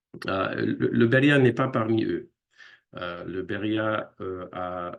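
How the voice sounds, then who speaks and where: A very slow delivery in an English accent, with ordinary pitch variation. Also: man. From United States. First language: English (speaking French). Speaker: linguist. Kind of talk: lecture. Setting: video call. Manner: halting, many hesitations.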